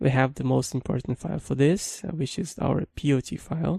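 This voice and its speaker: In a Brazilian accent, a man speaks at a moderate pace in a dark, mellow tone, the sound dry and close with no echo on a very clean recording with a silent background. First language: Brazilian Portuguese. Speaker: programming instructor. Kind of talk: tutorial.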